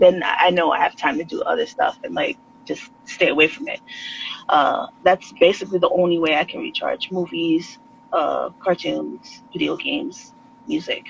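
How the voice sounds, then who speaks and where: A woman with a New York accent at a moderate pace, big swings in loudness, and noticeable background noise. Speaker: artist. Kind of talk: casual chat.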